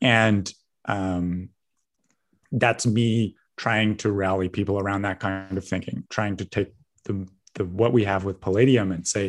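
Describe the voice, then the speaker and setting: A man speaks at a moderate pace with a Canadian accent and a fairly low pitch. His intonation is monotone and flat, and the background is quiet. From Canada, British Columbia. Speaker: magazine editor. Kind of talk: interview.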